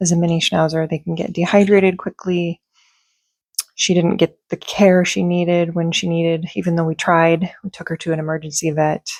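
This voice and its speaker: Soft-spoken and fairly low-pitched, a woman talks at a moderate pace in a monotone, flat intonation, with a dry, close sound and no echo. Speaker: beauty and fragrance YouTuber. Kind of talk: casual vlog chat. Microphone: talking close into microphone.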